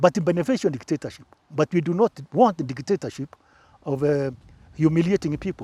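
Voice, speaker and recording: On a very clean recording with a silent background and a dry, close sound with no echo, a man with a fairly high pitch and a dark, mellow tone speaks at a fairly quick pace, with long, frequent pauses. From Kenya, Embu. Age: 70s. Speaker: former presidential press secretary. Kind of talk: interview. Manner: halting.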